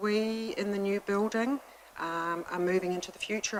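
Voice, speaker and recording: Moderate pace and fairly even intonation in a New Zealand accent, over noticeable background noise. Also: woman. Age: 60s. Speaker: hospice representative making a submission. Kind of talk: public submission at council hearing. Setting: council committee meeting.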